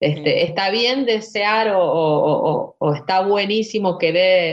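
A woman's medium-pitched voice at a fairly slow pace, with lively intonation. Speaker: singer and musician. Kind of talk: casual interview. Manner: halting, with many fillers.

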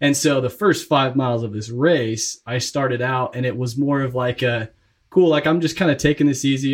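Against a quiet background, a man speaks at a fairly quick pace and a medium pitch in a somewhat breathy voice. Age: 20s. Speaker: real estate investor. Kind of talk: interview.

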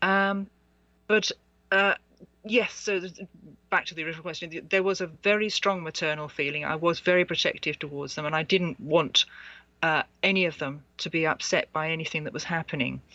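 With an English accent, a woman of fairly low pitch speaks at a fairly quick pace with ordinary pitch variation. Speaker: author and past life researcher. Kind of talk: interview. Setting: Skype call.

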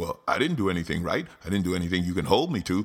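A man with very wide pitch swings in a very clean recording against a silent background. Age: 50s. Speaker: comedian. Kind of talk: comedic political commentary monologue.

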